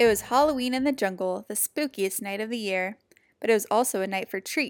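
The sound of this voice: Over a quiet background, an unforced reading voice shows ordinary pitch variation.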